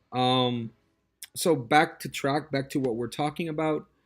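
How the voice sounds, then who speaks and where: A man speaks with a Spanish accent at a moderate pace, his intonation fairly even. The recording is very clean, with a silent background. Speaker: test prep tutor. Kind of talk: casual monologue. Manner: halting, many fillers and repetitions.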